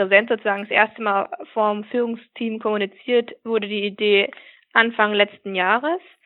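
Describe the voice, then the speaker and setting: Here is a woman with a fairly high pitch and an ordinary speaking voice. Her pace is fairly slow. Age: 20s. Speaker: business process manager. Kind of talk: interview.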